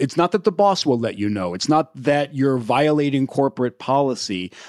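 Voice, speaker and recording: Intonation is lively, in an American accent. The speech moves at a moderate pace. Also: man, very clean recording, silent background. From US Midwest (Indiana). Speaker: research scientist and author. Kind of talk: interview.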